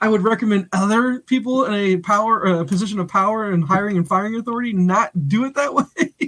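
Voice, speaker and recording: A man speaks loudly and fairly quickly in a high voice with ordinary pitch variation, hardly pausing at all, and the sound is dry and close with no echo. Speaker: podcast co-host. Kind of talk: casual chat. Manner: animated.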